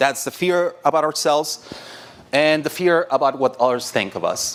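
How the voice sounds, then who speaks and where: Speaking at a fairly slow pace with a Mexican accent, a man uses a fairly high pitch and ordinary pitch variation. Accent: Mexican Spanish accent, noticeable. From Mexico. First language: Spanish. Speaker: designer, conference speaker. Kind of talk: conference talk. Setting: stage with audience. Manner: conversational, with frequent fillers and restarts.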